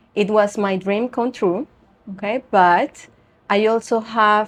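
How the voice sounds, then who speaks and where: Fairly slow, fairly even intonation, with a Spanish accent. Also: woman. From Venezuela. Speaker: yoga teacher and beauty pageant titleholder. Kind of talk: interview. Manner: halting.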